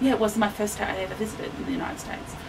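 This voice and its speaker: A woman speaks at a fairly high pitch with ordinary pitch variation. Audible room echo and noticeable background noise are present. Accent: Australian. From Australia. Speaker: town resident. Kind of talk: interview. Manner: consciously slowing down.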